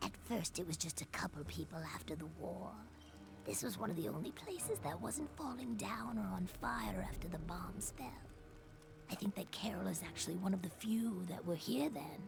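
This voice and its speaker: Someone performs a put-on character voice at a moderate pace against loud background noise. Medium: video game. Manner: hesitant, friendly.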